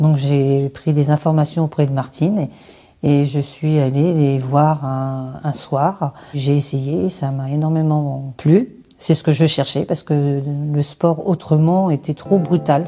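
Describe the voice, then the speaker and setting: A woman speaks very slowly in a very deep, low voice with a dark, mellow tone and fairly even intonation. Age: 50s. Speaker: adapted sport participant. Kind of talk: testimony.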